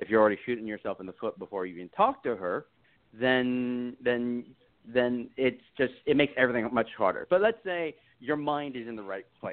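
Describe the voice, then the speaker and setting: Fairly quick delivery in a normal speaking voice, its pitch varying in an ordinary way. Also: man, medium pitch for a man. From Texas, US South. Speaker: dating coach. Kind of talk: podcast interview. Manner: casual, filler-heavy.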